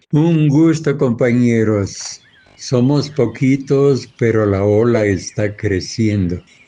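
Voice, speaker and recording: The speech moves at a very slow pace with very even loudness. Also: man, medium pitch for a man, ordinary pitch variation. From Ecuador. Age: 80s+. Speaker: farmer. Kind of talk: interview.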